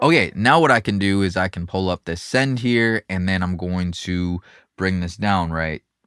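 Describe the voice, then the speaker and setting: Very clean recording with a silent background, a man's very deep, low voice with ordinary pitch variation in a dry, close sound with no echo. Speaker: mixing engineer. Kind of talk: tutorial. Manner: fast; casual, many fillers.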